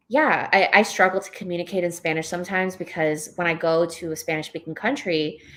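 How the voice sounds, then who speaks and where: A woman's fairly low voice with a New York accent, fairly even intonation and a moderate pace. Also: big swings in loudness. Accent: New York American English. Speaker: novelist. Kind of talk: live book club interview. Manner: halting, many fillers and restarts.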